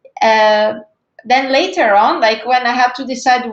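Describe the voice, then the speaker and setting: Here a woman speaks in a high pitch. Her pace is moderate. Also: quiet background. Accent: Italian. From Italy, Veneto (between Verona and Venice). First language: Italian. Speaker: cryptographer. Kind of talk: career talk presentation.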